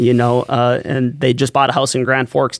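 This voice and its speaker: Recorded dry and close with no echo, a man speaks at a medium pitch and a fairly quick pace. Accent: American. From North Dakota, US (Valley City). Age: 20s. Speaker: nonprofit executive director. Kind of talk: podcast interview. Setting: studio.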